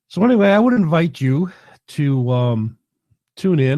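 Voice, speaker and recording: This man speaks at a moderate pace. His tone is dark and mellow. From New York City (Queens). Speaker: livestream show host. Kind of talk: casual live talk. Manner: halting, many fillers.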